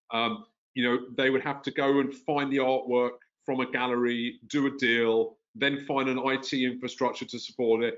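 With a London accent, a man speaks at a moderate pace. His intonation is fairly even, and the background is quiet. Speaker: tech company founder and CEO. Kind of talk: interview. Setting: video call. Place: home room. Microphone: video call.

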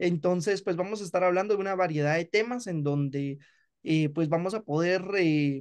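Against a quiet background, a man with a Guatemalan accent speaks at a fairly slow pace in a high pitch with ordinary pitch variation. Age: 20s. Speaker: law student and podcast creator; podcast creator. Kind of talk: interview. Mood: relaxed, friendly. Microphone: video call.

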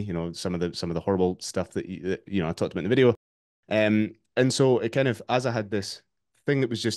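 Very fast speech over a quiet background. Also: man. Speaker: remote podcast guest, fitness coach. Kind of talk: interview answer. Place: home room. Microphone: video call.

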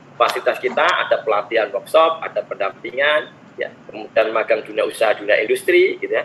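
A man talks at a very fast pace against light background noise. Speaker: university program presenter. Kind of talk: presentation. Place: home room. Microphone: webcam.

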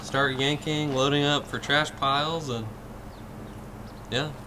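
With noticeable background noise behind him, a man speaks at a fairly slow pace. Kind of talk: casual vlog chat. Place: open country. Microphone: phone near.

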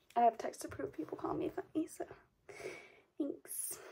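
A woman's voice with very wide pitch swings. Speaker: vlogger. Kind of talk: casual chat. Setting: at home. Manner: animated. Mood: playful, joking. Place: home room. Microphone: phone near.

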